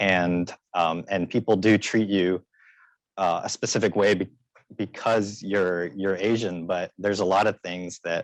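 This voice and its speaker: A man with an American accent speaks in a monotone, flat way at a fairly low pitch. The sound is dry and close with no echo, and his pace is fairly slow. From US South, West Columbia, South Carolina. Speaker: panelist. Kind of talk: panel discussion. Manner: halting.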